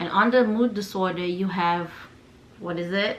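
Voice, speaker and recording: A woman with a non-native accent speaks in a fairly low voice, with audible room echo. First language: not English. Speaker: lifestyle vlogger. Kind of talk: personal vlog talk. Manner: casual, conversational.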